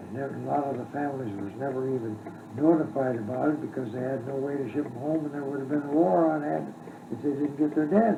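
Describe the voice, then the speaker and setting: Very fast, fairly high speech from a man, ordinary in its pitch variation, amid noticeable background noise. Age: 80s+. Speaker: retired doctor. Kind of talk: interview answer. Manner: hesitant, halting.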